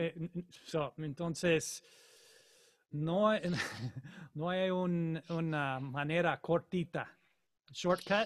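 With an English accent, a man talks at a very slow pace in a high voice, his intonation fairly even and broken by long, frequent pauses. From Colorado, US. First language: English (speaking Spanish). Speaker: jazz saxophonist; saxophone teacher. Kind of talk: online master class. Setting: video call. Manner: halting, repeats words. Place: home room. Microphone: studio mic.

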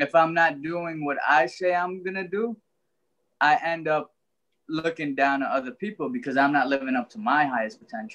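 A man with a New York accent speaks at a moderate pace in a fairly high voice, his bright, sharp tone carrying lively intonation against a quiet background. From Brooklyn, New York (Trinidadian family). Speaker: author and life coach; life coach. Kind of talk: interview. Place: home room. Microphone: video call.

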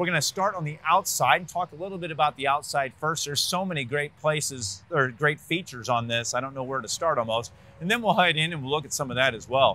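The speech runs at a very fast pace with hardly any pauses in a dry sound with no echo. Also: man, ordinary pitch variation. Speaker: RV dealer salesperson. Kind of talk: product walkthrough presentation. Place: street. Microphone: lapel.

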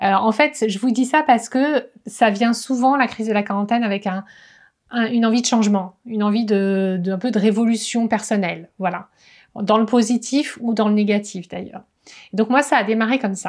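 A woman talks at a moderate pace with a fairly high pitch. Her pitch variation is ordinary, and the background is quiet. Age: 40s. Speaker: wellness coach. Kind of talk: vlog monologue. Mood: reflective, personal. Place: home room.

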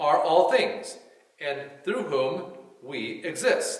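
The voice moves at a very slow pace. There is audible room echo against a quiet background. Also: man. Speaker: church reader or pastor. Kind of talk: scripture reading. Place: church. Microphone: podium.

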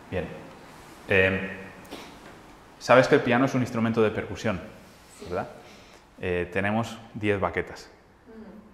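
Over light background noise and audible room echo, a man with a fairly low pitch and ordinary pitch variation talks at a fairly slow pace, leaving long, frequent pauses. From Spain, Madrid. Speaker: jazz pianist and music teacher; music teacher. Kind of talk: masterclass lecture. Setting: hall with live audience. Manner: halting, many fillers. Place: hall. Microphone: lapel.

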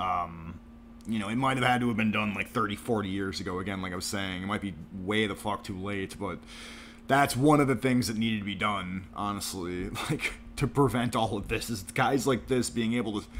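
Here is a man with an unremarkable speaking voice. He talks at a fairly quick pace with ordinary pitch variation. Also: fairly low pitch for a man. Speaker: streamer clipping and mocking a podcast. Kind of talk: angry reaction commentary stream. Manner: sarcastic, ranting.

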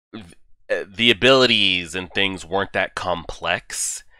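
The man's tone is bright and sharp, with a dry sound with no echo and a quiet background. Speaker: anime reviewer. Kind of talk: casual vlog chat. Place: home room. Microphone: headset.

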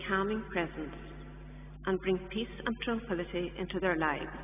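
In a solemn tone, a woman talks at a moderate pace with ordinary pitch variation, amid light background noise and audible room echo. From Ireland. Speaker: lay reader. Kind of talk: scripture reading and intercessory prayers, fervent. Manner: earnest, solemn, steady, pleading. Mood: solemn, measured. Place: church.

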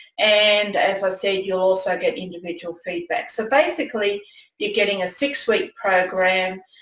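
A woman talks with an Australian accent and lively intonation. Audible room echo surrounds her voice. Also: medium pitch for a woman, moderate pace. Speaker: presentation skills coach, former nurse; presentation skills coach. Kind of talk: webinar presentation. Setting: online webinar with screen share. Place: home room.

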